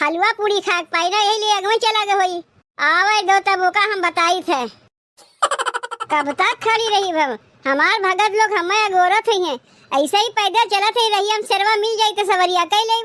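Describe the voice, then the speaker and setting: In a cartoonish character voice, a woman speaks at a moderate pace and an extremely high pitch. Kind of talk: village comedy cartoon. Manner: soft, unhurried.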